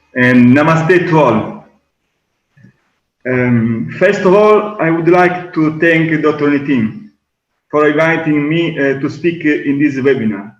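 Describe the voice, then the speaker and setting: Speaking with an Italian accent at a very slow pace, a man with a fairly high pitch and ordinary pitch variation leaves long, frequent pauses amid audible room echo. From Sicily, Italy. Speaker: Ayurveda and yoga teacher. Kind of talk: webinar talk. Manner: halting.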